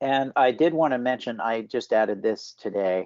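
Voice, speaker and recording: A man at a moderate pace with ordinary pitch variation, in a dry sound with no echo over a quiet background. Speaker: health data standards specialist; presenter. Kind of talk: work meeting presentation. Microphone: video call.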